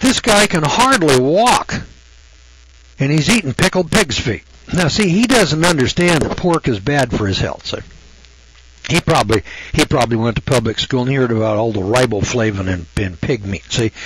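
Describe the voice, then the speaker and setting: Noticeable background noise sits behind a man of medium pitch. His pitch swings very widely. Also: moderate pace. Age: 70s. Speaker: radio host. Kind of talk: radio monologue. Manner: folksy, rambling conversational.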